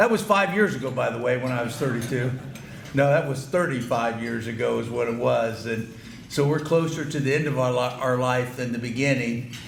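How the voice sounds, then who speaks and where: A man with a medium-pitched voice talks at a fairly quick pace with ordinary pitch variation, heard through noticeable background noise and audible room echo. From Ohio, US Midwest. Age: 60s. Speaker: banquet keynote speaker. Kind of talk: speech to banquet audience. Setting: banquet hall with audience. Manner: halting, repetitive.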